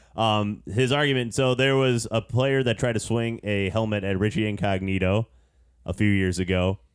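Here a man with an ordinary speaking voice talks at a fairly low pitch and a moderate pace. His pitch variation is ordinary and his loudness very even. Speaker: podcast host. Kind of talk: casual sports podcast chat.

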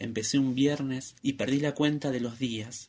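A man talks at a fairly slow pace. His intonation stays monotone and flat. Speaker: listener, student writer. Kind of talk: reading aloud his own text.

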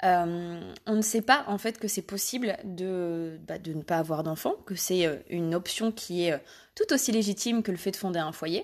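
The background is quiet as a woman speaks fairly slowly at a medium pitch with ordinary pitch variation. She has a plain, everyday voice. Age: 20s. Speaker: podcast host and Instagram creator. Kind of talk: personal monologue.

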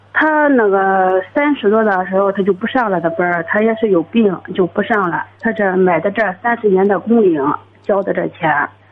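A woman at a medium pitch with lively intonation, very even loudness and a moderate pace, an ordinary speaking voice. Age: 30s. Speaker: caller. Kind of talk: phone-in advice call. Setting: phone call.

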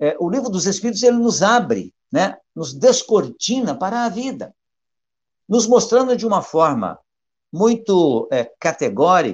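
Against a quiet background, a man with a high pitch and lively intonation speaks at a fairly slow pace. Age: 60s. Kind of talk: study session. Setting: live stream.

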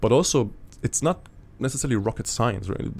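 Very fast delivery with ordinary pitch variation. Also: man. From Germany. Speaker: startup co-founder. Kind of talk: interview. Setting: studio. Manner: halting, many fillers and repetitions.

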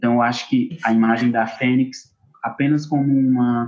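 Music plays behind a man with a medium-pitched voice. He talks at a very slow pace. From Brazil, Ceará interior (Acopiara). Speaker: actor and theatre teacher. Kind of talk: interview conversation.

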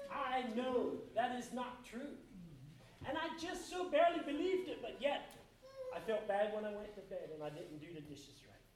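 A man's extremely high pitch with an American accent, very wide pitch swings, big swings in loudness and a moderate pace, in audible room echo. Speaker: lay preacher. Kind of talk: sermon. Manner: halting.

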